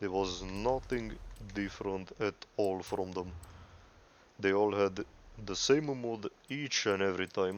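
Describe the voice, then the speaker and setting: Someone with a non-native accent speaks at a fairly slow pace with ordinary pitch variation. Long, frequent pauses break up the speech. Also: man. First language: not English. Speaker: gaming YouTuber. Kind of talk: casual monologue over gameplay. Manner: halting, self-correcting.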